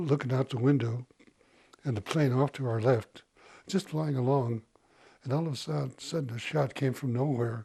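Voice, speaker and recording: A man with an American accent, medium pitch and a dark, mellow, somewhat breathy tone, at a moderate pace with ordinary pitch variation and long, frequent pauses. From Montana, Crow reservation. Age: 80s+. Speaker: war veteran. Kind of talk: interview. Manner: casual.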